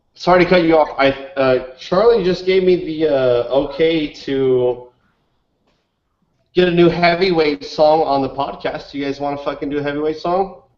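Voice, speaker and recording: A man's unremarkable speaking voice, fairly high in pitch, with ordinary pitch variation and a moderate pace. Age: 20s. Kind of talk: casual chat.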